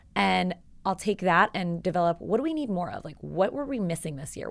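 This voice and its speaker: An American accent from a woman with fairly low pitch, lively intonation and a fairly quick pace, on a very clean recording with a silent background. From Philadelphia, US. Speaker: podcast host, sports media producer. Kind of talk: casual interview chat; solo podcast outro. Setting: podcast recording. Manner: talkative.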